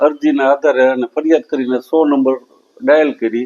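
This man has a normal speaking voice, pitched fairly high, with ordinary pitch variation. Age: 60s. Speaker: senior citizen complainant. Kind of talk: news interview statement.

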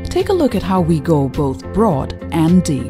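Very wide pitch swings at a moderate pace, with clear music in the background. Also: woman. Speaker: voice actor. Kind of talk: corporate narration. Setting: studio. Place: studio. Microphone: studio mic.

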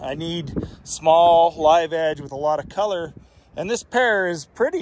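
Speaking at a fairly slow pace, a man with a high voice shows ordinary pitch variation, the sound dry with no echo and light background noise behind him. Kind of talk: casual vlog chat. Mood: pleased, relaxed. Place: garden. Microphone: phone near.

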